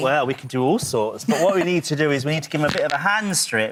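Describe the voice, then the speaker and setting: A man with a fairly high pitch speaks at a very fast pace with lively intonation. Noticeable background noise runs behind him. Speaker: professional dog groomer. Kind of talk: TV presenter, casual friendly talk. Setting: TV studio chat with a host. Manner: chatty, warm, enthusiastic.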